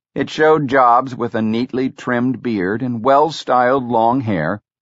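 Using an unremarkable speaking voice, a man of medium pitch speaks at a fairly slow pace. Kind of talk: audiobook narration. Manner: steady, measured, even-paced reading.

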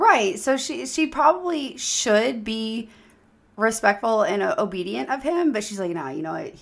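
Her pitch fairly high, a woman's voice shows very wide pitch swings, vocal fry, and big swings in loudness. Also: moderate pace. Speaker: podcast host, mother. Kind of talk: casual chat. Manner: joking, rambling.

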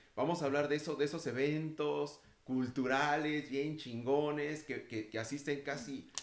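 The speech moves at a fairly slow pace. Intonation stays fairly even. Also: man, fairly high pitch for a man. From Mexico City. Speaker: podcast host. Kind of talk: casual panel discussion. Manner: hesitant, repeats words.

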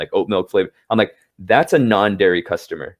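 Talking at a very fast pace, the man has an American accent. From Southern California, Los Angeles. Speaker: business founder. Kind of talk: interview. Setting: video call.

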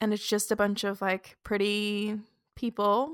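A woman speaks in a medium pitch with flat, monotone intonation. The sound is dry and close with no echo, in a very clean recording against a silent background. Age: 20s. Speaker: podcast co-host. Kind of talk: casual chat.

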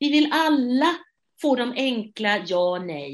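Speaking at a very slow pace, a woman moves through very wide pitch swings. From Sweden, Gothenburg. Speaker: theatre director and actress. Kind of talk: interview. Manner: halting.

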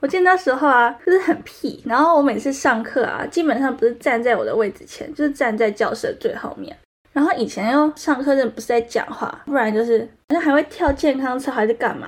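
With a Taiwanese accent, a woman speaks at a fairly quick pace, her high voice rising and falling with lively intonation. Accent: Taiwanese Mandarin. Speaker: solo podcast host, university student. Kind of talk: personal monologue. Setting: recording studio. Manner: rising sentence endings.

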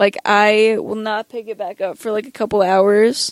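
At a fairly slow pace, a woman speaks in a dry, close sound with no echo. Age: young. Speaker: podcast host. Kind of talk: casual monologue. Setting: home recording late at night. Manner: hesitant, many fillers.

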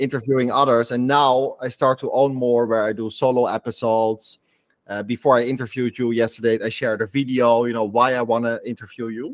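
Monotone and flat, a man talks at a fairly quick pace in a medium pitch. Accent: Dutch. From Netherlands. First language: Dutch. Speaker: podcast host. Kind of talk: interview, casual chat.

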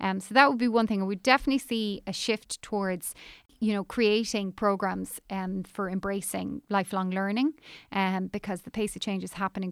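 In an Irish accent, a woman speaks at medium pitch with fairly even intonation, on a very clean, dry, close recording with no echo and a silent background. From Ireland. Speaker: recruitment industry executive. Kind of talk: interview.

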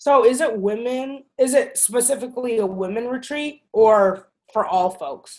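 At a fairly slow pace, a woman speaks with a high pitch. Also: ordinary pitch variation. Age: 20s. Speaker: podcast co-host. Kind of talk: casual chat. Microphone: computer technical issues.

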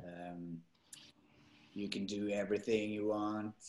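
Speaking very slowly, a man with a Norwegian accent keeps his pitch fairly low. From Norway. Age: 30s. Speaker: actor. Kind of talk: interview. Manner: halting.

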